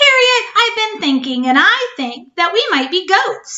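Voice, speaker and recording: Squeaky and put on as a character voice, the speech moves at a moderate pace with very wide pitch swings. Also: woman, extremely high pitch for a woman. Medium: read story.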